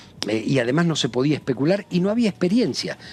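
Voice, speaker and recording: Very wide pitch swings from a man, delivered at a very fast pace. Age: 60s. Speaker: politician. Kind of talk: TV interview. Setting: TV studio.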